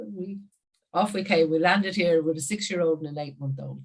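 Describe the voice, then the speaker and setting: This woman speaks at a very deep, low pitch. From Ireland, Wicklow on east coast. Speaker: business coach. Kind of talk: casual chat.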